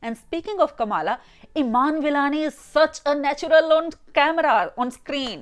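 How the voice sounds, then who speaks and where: Her tone animated, a woman with a high pitch talks at a moderate pace with ordinary pitch variation. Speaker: YouTube film reviewer. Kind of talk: casual video review. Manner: animated, mixes Hindi and English.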